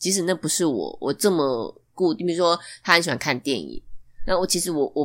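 A woman's fairly low-pitched voice with vocal fry and lively intonation, in a very clean recording with a silent background. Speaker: podcast guest, newlywed. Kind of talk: casual chat.

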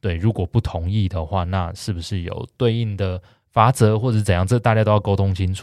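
A man's normal speaking voice at a fairly low pitch and fairly quick pace, with fairly even intonation, on a very clean recording with a silent background and a dry, close sound with no echo. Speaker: real estate podcast host. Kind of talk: casual chat.

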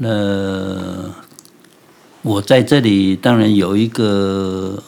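Fairly even intonation in a man's fairly low register. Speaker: ceramic artist. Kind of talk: interview. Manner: hesitant, many fillers.

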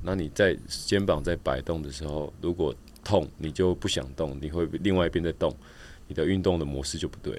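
Vocal fry runs through a man's very deep, low voice, which has ordinary pitch variation. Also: moderate pace. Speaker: professional triathlete and coach. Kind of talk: casual interview.

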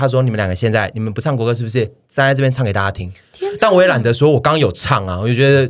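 Animated and very fast, a man with a Taiwanese accent talks at a medium pitch with ordinary pitch variation. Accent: Taiwanese Mandarin. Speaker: podcast co-host. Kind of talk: casual chat.

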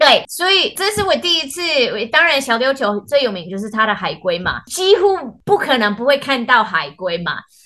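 A woman speaks at a moderate pace in a high, raised, projected voice. Her tone is bright and sharp, with very wide pitch swings. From US, Washington State. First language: English (speaking Chinese). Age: 40s. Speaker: theatre artist. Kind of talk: casual chat.

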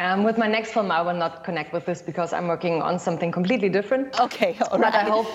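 Talking at a very fast pace with hardly any pauses, a woman of medium pitch shows ordinary pitch variation over noticeable background noise. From Germany. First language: German (speaking Chinese). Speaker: documentary filmmaker. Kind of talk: interview. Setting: video call.

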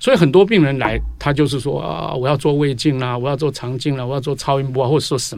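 A man at a very fast pace with hardly any pauses. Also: medium pitch for a man, ordinary pitch variation. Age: 70s. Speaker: physician. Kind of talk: interview. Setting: studio.

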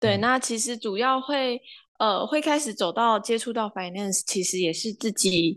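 In a quiet background, a woman with a plain, everyday voice speaks at a moderate pace, her fairly high pitch varying in an ordinary way. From Taiwan, Kaohsiung. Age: 20s. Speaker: finance graduate. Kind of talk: interview.

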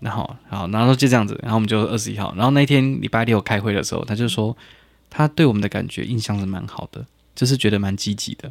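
A man rattles along at a very fast pace with fairly even intonation. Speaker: podcast co-host. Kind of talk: casual chat.

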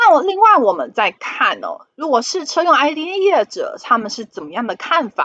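Speaking in a Taiwanese accent, a woman uses an extremely high pitch with very wide pitch swings and big swings in loudness. Her voice is raised and projected, with hardly any pauses. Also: moderate pace, dry, close sound with no echo. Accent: Taiwanese Mandarin. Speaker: finance podcast host. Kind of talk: solo investment commentary.

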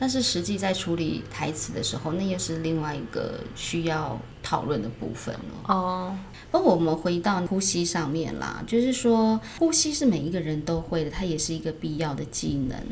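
A soft-spoken woman with lively intonation, amid noticeable background noise and audible room echo. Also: fairly low pitch for a woman, moderate pace. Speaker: acting teacher. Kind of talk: casual chat.

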